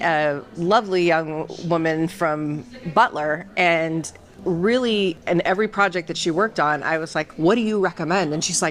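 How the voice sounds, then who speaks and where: Over noticeable background noise, a woman with a fairly low-pitched voice speaks at a moderate pace. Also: ordinary pitch variation. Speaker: consumer insights leader. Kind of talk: interview.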